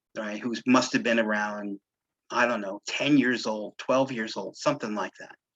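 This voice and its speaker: A man with a New York accent talks at a moderate pace and medium pitch, with fairly even intonation and big swings in loudness. The sound is dry and close, with no echo. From New York City. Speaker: local historian. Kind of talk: lecture.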